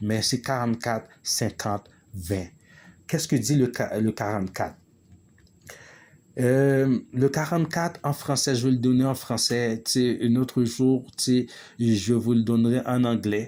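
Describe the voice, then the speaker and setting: A man with a dark, mellow tone and a medium pitch speaks at a very slow pace with ordinary pitch variation. The recording is very clean, with a silent background. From Quebec, Montreal (Haitian-born). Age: 40s. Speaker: spiritual vlogger. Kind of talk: monologue video. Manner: halting, many hesitations.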